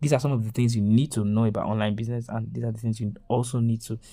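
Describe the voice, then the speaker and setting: A man speaks at a medium pitch. His tone is dark and mellow. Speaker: online course creator. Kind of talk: webinar. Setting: webinar. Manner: fast.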